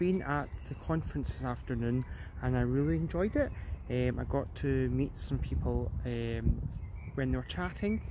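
A man with a Glasgow accent at a fairly slow pace, dry with no echo, over noticeable background noise. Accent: Scottish (Glasgow). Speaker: vlogger. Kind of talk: casual vlog narration. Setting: outdoors. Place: street. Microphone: phone near.

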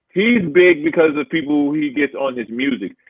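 A man with a plain, everyday voice is heard in a dry sound with no echo. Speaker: producer. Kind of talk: casual banter. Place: home room. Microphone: video call.

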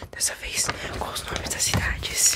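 A man whispering. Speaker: ASMR creator. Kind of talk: ASMR whispering city names. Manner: whispered. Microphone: studio mic.

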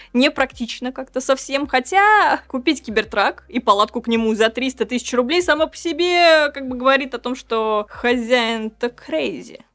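In a high pitch, a woman speaks with lively intonation against a quiet background. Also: moderate pace, hardly any pauses. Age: 30s. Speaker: tech news presenter; news presenter. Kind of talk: news roundup vlog. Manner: animated. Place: studio.

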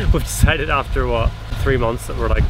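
A man's voice, dry with no echo, amid loud background noise. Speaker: sailing vlogger. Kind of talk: casual vlog chat. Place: boat. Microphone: phone near.

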